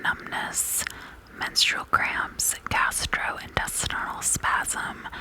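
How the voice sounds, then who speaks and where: Noticeable background noise sits behind someone whispering at a very slow pace. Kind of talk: ASMR whisper reading about essential oils. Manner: whispered, soft-spoken.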